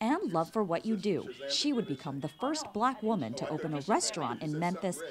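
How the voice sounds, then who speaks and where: A woman with a medium pitch and very wide pitch swings speaks at a moderate pace over noticeable background noise. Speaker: TV news reporter. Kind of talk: TV news report narration.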